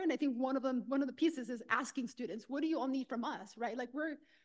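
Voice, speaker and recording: Talking at a very fast pace, a woman with a Spanish accent uses a high pitch. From Los Angeles, California. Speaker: university administrator and doctoral candidate. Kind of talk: panel discussion.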